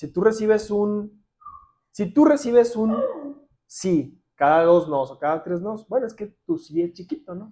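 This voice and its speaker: With a dark, mellow tone, the voice moves at a fairly slow pace through very wide pitch swings and big swings in loudness. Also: man, high pitch for a man. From Ciudad Juárez, Mexico. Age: 30s. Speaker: civil engineer. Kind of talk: casual interview.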